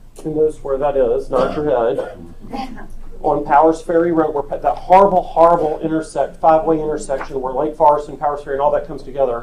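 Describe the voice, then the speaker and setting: Over noticeable background noise, a man talks at a very fast pace in a fairly high pitch with fairly even intonation. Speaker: real estate agent and sales trainer. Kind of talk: team meeting presentation.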